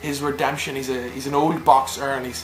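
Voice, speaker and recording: Music plays in the background as a man with a Northern Irish accent speaks. His pitch is fairly high and his pace fairly quick. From Northern Ireland. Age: young. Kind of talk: movie review to camera.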